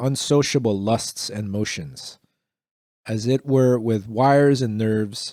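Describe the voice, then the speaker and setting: In a calm, dark, mellow tone, a man talks at a fairly slow pace and medium pitch with fairly even intonation, the sound dry and close with no echo and the recording very clean over a silent background. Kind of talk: philosophy audiobook reading for sleep. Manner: calm, slow.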